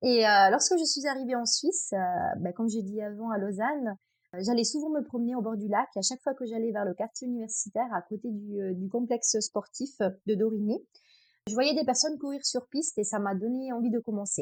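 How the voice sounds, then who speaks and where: A woman speaks with an Italian accent in a fairly high voice and ordinary pitch variation. The recording is very clean, with a silent background. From Italy, Abruzzo. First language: Italian (speaking French). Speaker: trail runner. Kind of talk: podcast interview. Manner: hesitant, many fillers.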